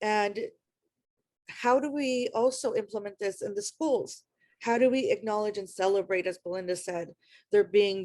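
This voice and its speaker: A woman with a medium pitch speaks in an Iranian accent. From US, Afghan immigrant community. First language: Farsi. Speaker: panelist, refugee advocate. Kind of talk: panel discussion.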